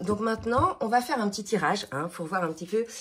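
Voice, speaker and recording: A fairly quick pace over noticeable background noise. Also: woman. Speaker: spiritual card reader. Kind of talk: tarot reading monologue. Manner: hesitant, many fillers.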